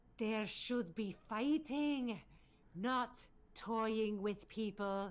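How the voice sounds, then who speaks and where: This female-sounding voice is a booming, put-on character voice. Its pitch is fairly high. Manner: commanding, angry.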